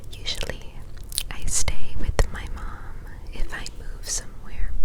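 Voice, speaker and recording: A woman whispering at a very slow pace, with big swings in loudness and noticeable background noise. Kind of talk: ASMR whisper ramble. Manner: whispered.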